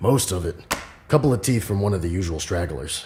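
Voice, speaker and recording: A man's raspy, very deep put-on character voice, with lively intonation and a fairly quick pace. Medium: audio drama.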